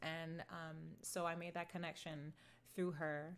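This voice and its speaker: Loud and bright, the woman's voice carries a sharp tone. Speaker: singer-songwriter. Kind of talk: livestream Q&A reading chat. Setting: outdoors at computer livestream.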